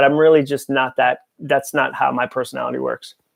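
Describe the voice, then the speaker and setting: Speaking with an American accent, a man keeps up a fairly quick pace. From New England (Massachusetts). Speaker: author and speaker. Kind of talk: live Q&A stream. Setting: home office, filming live.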